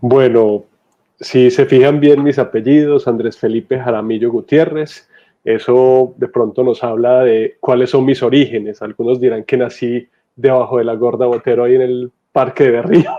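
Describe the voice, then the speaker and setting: With an ordinary speaking voice, a man talks at a medium pitch and moderate pace, his intonation fairly even. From Colombia, Medellín (Antioquia). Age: 30s. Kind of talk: testimony.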